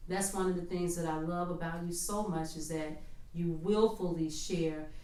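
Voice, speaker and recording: Over noticeable background noise and audible room echo, a woman with an American accent speaks at a moderate pace with lively intonation. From Chicago, South Shore. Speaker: podcast host, non-profit worker. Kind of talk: interview.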